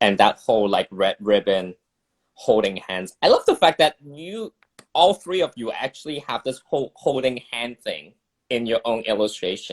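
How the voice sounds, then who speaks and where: The speaker has a Cantonese accent and very wide pitch swings, talking at a moderate pace in a dry, close sound with no echo. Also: man, medium pitch for a man. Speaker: illustrator and campaign organizer. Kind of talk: casual chat. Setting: video livestream. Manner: halting.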